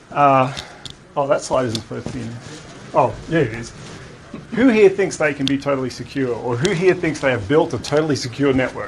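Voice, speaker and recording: With lively intonation, a man talks at a fairly quick pace broken by long, frequent pauses, amid noticeable background noise and audible room echo. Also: fairly high pitch for a man. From Australia. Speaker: security architect, conference speaker. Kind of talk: conference presentation. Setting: conference room with live audience. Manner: casual, conversational.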